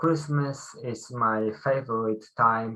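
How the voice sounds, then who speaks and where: Very slowly, a man speaks in a bright, sharp tone. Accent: Polish. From Poland. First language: Polish. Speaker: club member. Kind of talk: impromptu speech. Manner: halting.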